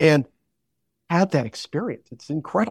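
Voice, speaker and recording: Speaking in a normal speaking voice with an American accent, a man uses a fairly high pitch and ordinary pitch variation, recorded with a dry, close sound and no echo. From western Massachusetts. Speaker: baseball research volunteer. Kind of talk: interview.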